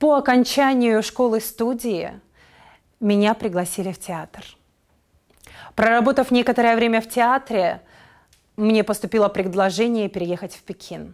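A woman's fairly high voice at a fairly slow pace, with long, frequent pauses, ordinary pitch variation and big swings in loudness, over a quiet background. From Russia, Yakutsk; Russia. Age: 30s. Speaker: actress. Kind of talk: self-presentation. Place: studio.

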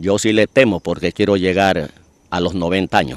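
A man's voice in a dry, close sound with no echo. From Ecuador, Esmeraldas province (Quinindé). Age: 60s. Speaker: poet and local historian. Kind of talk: interview.

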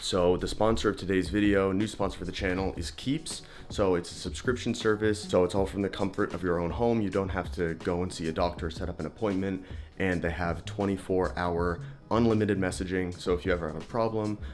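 A man's very deep, low voice at a fairly quick pace with ordinary pitch variation, faint music in the background. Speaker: fitness vlogger. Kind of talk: sponsor read in a casual vlog. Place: home room. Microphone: phone near.

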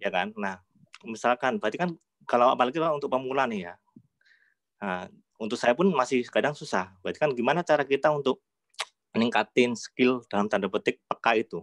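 A man's fairly quick, lively-intoned speech broken by long, frequent pauses, dry with no echo against a quiet background. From Yogyakarta, Indonesia. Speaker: audience member asking a question. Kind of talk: audience question. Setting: video call. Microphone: video call.

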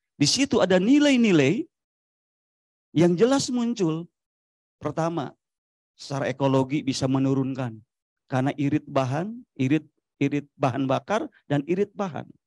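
Against a quiet background with a dry sound and no echo, a man with a fairly high pitch speaks at a moderate pace in an animated tone, with lively intonation and long, frequent pauses. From Majalengka, West Java; West Java. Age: 40s. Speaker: local government official. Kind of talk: panel discussion. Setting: forum with live audience. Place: hall. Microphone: handheld.

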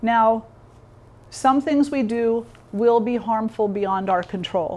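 Speaking at a very slow pace, a woman uses ordinary pitch variation. Her delivery stays unhurried throughout. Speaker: yoga teacher. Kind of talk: lecture. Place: hall.

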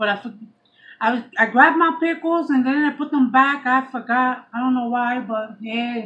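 Animated and bright, a woman with a high pitch speaks at a moderate pace in a sharp tone. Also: ordinary pitch variation. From New York, Puerto Rican background. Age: 40s. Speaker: YouTube vlogger. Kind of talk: casual mukbang chat to camera. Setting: eating on camera at home. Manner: chatty. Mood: relaxed, chatty. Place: home room. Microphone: phone near.

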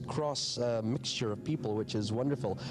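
A man's voice, with ordinary pitch variation, comes over noticeable background noise. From Northern Ireland. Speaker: musician, band co-founder. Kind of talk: interview, reminiscing. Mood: warm, reminiscing. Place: stage.

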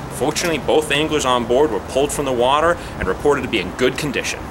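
A man talks at a fast pace with vocal fry over clear background noise.

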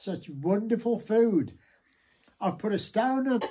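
A man with a British accent and a dark, mellow tone speaks at a moderate pace over a quiet background. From England. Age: 80s+. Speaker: grandfather. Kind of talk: casual conversation at dinner. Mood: cheerful, grateful. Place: home room. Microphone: phone near.

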